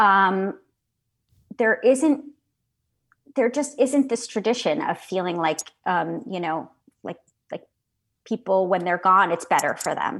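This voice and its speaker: Speaking at a fairly slow pace with long, frequent pauses, a woman with an American accent uses lively intonation. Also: medium pitch for a woman. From US Northeast, suburban Connecticut. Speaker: writer. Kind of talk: interview. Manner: hesitant, many fillers.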